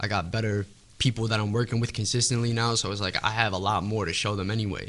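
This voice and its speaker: A man with a New York accent talks at a very fast clip, his pitch fairly low. His tone is bright and sharp, and his intonation stays fairly even. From New York City, Staten Island. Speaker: rapper. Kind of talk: casual interview.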